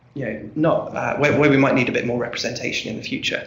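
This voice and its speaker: A man with an American accent and a fairly high pitch, ordinary pitch variation, audible room echo, and noticeable background noise. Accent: English, noticeable to a US audience. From England, Norwich. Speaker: research fellow. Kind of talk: conference presentation. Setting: conference room with audience. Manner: halting, many fillers and repetitions.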